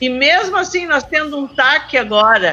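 A woman speaks in a raised, projected voice at a high pitch, with lively intonation at a moderate pace over noticeable background noise. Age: 60s. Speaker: community health council member. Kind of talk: casual chat. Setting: remote call from home.

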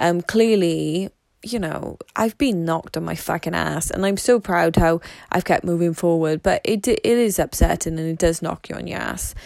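With vocal fry, a woman speaks at a fairly low pitch and a moderate pace. Her tone is slightly mellow, and her pitch varies in an ordinary way.

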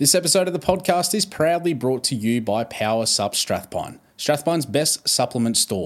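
With an Australian accent, a man speaks at a moderate pace and fairly high pitch, using lively intonation and hardly any pauses, in a very clean recording with a silent background. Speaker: podcast host. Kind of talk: casual interview chat.

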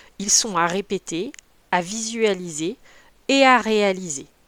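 Lively in intonation and medium in pitch, a woman is heard in a dry, close sound with no echo on a very clean recording with a silent background. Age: 40s. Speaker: volleyball coach. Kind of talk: solo podcast tutorial. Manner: hesitant with fillers.

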